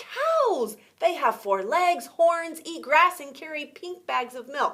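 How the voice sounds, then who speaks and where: A woman does a put-on character voice at an extremely high pitch. She talks at a fairly slow pace. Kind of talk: bedtime story. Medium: read story. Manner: animated.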